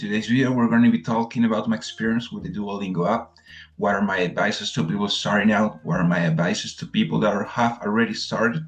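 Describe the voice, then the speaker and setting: Amid noticeable background noise, a man with a Spanish accent talks at a very fast pace with hardly any pauses, using a medium pitch and ordinary pitch variation. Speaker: language teacher and vlogger. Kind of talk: casual vlog review. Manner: hesitant with fillers.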